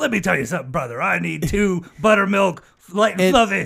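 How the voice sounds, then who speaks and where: Putting on a character voice, a man talks high-pitched at a fairly quick pace with very wide pitch swings. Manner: gruff, confrontational promo delivery.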